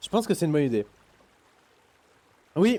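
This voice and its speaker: The sound is dry and close, with no echo. A man speaks at a fairly high pitch, his pitch swinging very widely. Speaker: gaming streamer. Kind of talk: casual chat. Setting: live stream. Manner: animated.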